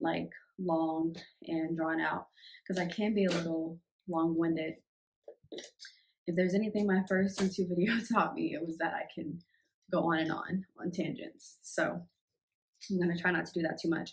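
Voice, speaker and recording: A somewhat breathy woman with a fairly low pitch and an American accent, fairly even intonation, a moderate pace and long, frequent pauses. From US Midwest, Chicago. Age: 20s. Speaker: vlogger and nurse. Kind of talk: casual get-to-know-me vlog. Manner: hesitant, many fillers (um).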